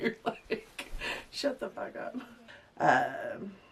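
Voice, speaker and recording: Behind a woman's speech, background noise is noticeable. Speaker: beauty vlogger. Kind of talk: casual vlog talk; off-camera chat. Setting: home recording with partner in room.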